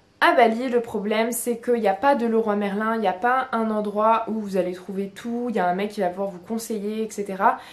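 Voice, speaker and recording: A woman at a fairly high pitch, fairly quick in pace, with fairly even intonation. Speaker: lifestyle vlogger. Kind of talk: casual vlog talk. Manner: monotone; hesitant, many fillers.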